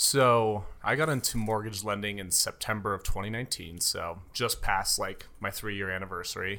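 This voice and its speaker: In a very clean recording with a silent background, a man with a General American accent speaks at a moderate pace with hardly any pauses, using a bright, sharp tone, a fairly low pitch and fairly even intonation. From Colorado, Castle Rock. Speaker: mortgage loan officer. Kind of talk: casual interview chat.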